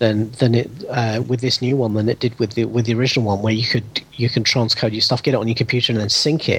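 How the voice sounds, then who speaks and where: Over noticeable background noise, a man with a British accent speaks very fast at medium pitch, his intonation monotone and flat and his loudness very even. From United Kingdom. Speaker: former podcaster, tech enthusiast. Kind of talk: casual chat. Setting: remote call.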